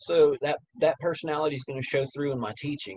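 Against a quiet background, a man talks at a fairly quick pace in a somewhat breathy voice. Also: dry sound with no echo. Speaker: music teacher. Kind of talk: casual interview. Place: home room. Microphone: webcam.

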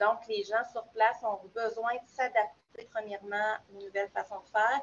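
The woman's voice sits at a fairly high pitch. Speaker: new pedagogical advisor. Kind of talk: online group discussion. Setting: video call.

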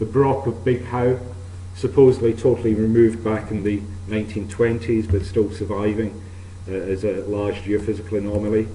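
With a fairly low voice and fairly even intonation, a man speaks amid light background noise and audible room echo. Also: moderate pace. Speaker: archaeologist. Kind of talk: lecture. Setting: stage with audience. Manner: formal. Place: hall.

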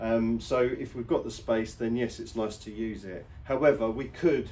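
A plain, everyday voice: a man with a fairly low pitch at a moderate pace, lively intonation, and light background noise. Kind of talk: tutorial. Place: garage. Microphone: camera far.

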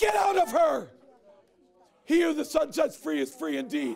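Shouting at a moderate pace, a man's voice swings very widely in pitch. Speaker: evangelist. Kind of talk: deliverance prayer, commanding spirits to leave. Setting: stage with audience. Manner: urgent, shouted exclamations. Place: hall.

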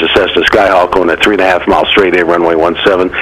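Amid noticeable background noise, the speech rushes along at a very fast pace. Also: man. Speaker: air traffic controller. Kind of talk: radio ATC phraseology. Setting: radio transmission.

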